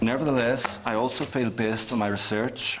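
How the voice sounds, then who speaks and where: Noticeable background noise sits behind a man's voice. He speaks at a fairly quick pace with fairly even intonation. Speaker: university researcher. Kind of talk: committee evidence statement. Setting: committee room hearing. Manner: formal.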